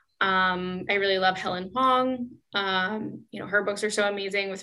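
In a West Coast accent, a woman with medium pitch and a bright, sharp tone speaks at a fairly slow pace with fairly even intonation. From US Pacific Northwest, Seattle. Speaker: author. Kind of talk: casual interview.

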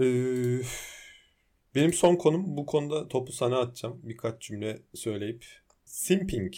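A man's dark, mellow tone with lively intonation at a fairly slow pace. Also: medium pitch for a man. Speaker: podcast co-host. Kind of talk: casual chat. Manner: animated, frequent laughter.

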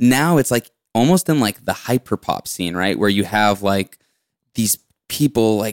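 In a very clean recording with a silent background and a dry, close sound free of echo, a man speaks at a moderate pace and medium pitch in an unremarkable speaking voice. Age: 20s. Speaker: musician. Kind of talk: casual chat.

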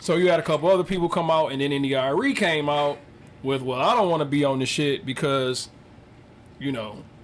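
At a moderate pace, a man with a fairly high pitch speaks with ordinary pitch variation against noticeable background noise. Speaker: podcast co-host. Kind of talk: casual chat.

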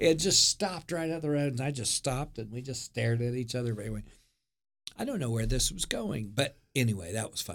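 This man talks very fast with an American accent. His medium-pitched voice has lively intonation. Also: very clean recording, silent background. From Oklahoma, US. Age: 60s. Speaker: former pastor and youth director. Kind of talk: casual interview chat. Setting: studio.

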